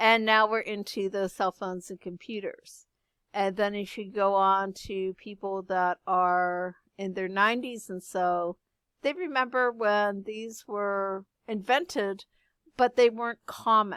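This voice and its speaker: An unremarkable speaking voice moves at a fairly slow pace with fairly even intonation and big swings in loudness, in a very clean recording with a silent background and a dry, close sound with no echo. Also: woman, medium pitch for a woman. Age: 50s. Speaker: high school art teacher. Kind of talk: lecture.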